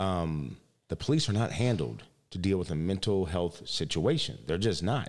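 With an American accent, a man speaks in a very deep, low pitch with lively intonation and very even loudness. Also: moderate pace. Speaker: podcast host. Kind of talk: interview. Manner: animated.

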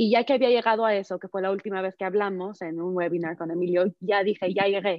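A woman with a plain, everyday voice, medium pitch, fairly even intonation and a fairly quick pace. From Mexico. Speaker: activist speaker. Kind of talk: panel discussion.

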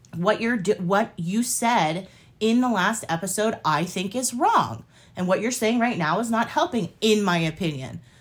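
A somewhat breathy woman speaks in an animated, passionate tone with lively intonation. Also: medium pitch for a woman, moderate pace, very clean recording, silent background. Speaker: podcast co-host. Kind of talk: casual banter.

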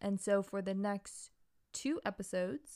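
A woman speaks at a moderate pace and a medium pitch. She has a normal speaking voice, captured in a very clean recording with a silent background. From Massachusetts suburbs and Hawaii, US. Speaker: podcast co-host. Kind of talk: casual chat. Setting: studio microphone.

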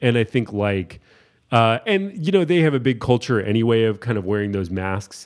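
A man's ordinary speaking voice, medium in pitch, with lively intonation, a moderate pace and a quiet background. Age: 30s. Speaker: painter and art show producer. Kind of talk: casual chat. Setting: in person, drinking beer.

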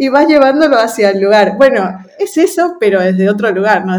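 Speaking at a fairly quick pace, a woman uses a medium pitch and lively intonation. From Ecuador. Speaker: UX design lead. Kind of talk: interview.

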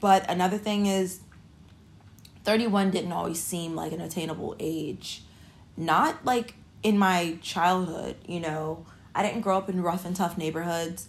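Here is a woman with a plain, everyday voice and fairly low pitch. She speaks fairly slowly with fairly even intonation. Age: 30s. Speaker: podcast host. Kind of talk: casual monologue. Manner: casual, many filler words.

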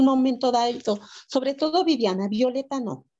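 Dark and mellow in tone, a woman's high-pitched voice shows ordinary pitch variation. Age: 60s. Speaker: author and mother caregiver. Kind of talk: interview testimony.

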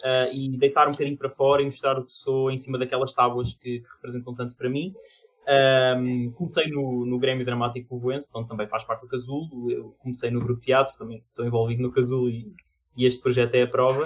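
A somewhat breathy man with a European Portuguese accent, medium pitch, fairly quick pace, monotone, flat intonation and big swings in loudness. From Portugal. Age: 20s. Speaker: artist, amateur theatre actor. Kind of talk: casual chat. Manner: halting, with repetitions.

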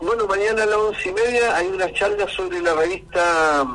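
A man talks at a moderate pace. Noticeable background noise can be heard. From Chile, Maule region. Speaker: poet. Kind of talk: radio interview.

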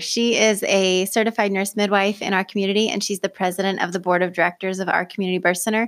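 With an American accent, a woman talks at a very fast pace and a medium pitch. The recording is very clean and the background silent. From US Pacific Northwest, Oregon (Lane County). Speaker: certified nurse midwife, birth center director. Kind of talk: casual interview. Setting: podcast studio.

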